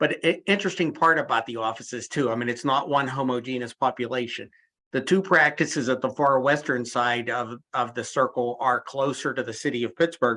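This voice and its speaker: Against a quiet background, a man with a medium-pitched, bright, sharp voice talks fairly quickly with fairly even intonation. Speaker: physician presenter. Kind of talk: lecture. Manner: fast.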